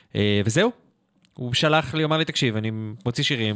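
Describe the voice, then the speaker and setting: Very fast speech from a man, with ordinary pitch variation. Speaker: metal radio show co-host. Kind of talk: casual chat. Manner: animated.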